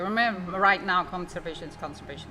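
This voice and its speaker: Over music in the background, a woman talks at a very fast pace with a fairly low pitch. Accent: Italian. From Italy, Rome. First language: Italian. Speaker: waste management company co-founder. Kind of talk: podcast interview answer. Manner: hesitant.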